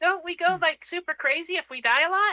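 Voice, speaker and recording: A woman uses a put-on character voice that is squeaky and extremely high in pitch. She delivers it at a fairly quick pace. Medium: actual play. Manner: simple, broken English.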